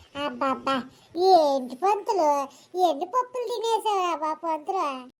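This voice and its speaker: A woman performs a squeaky, cartoonish character voice at an extremely high pitch. She speaks very slowly, with very wide pitch swings. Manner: scolding, brash.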